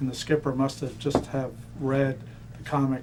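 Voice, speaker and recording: Someone with an American accent speaks at a moderate pace in a flat monotone. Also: man. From Florida (Miami). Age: 60s. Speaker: navy veteran. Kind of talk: oral history interview. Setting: museum.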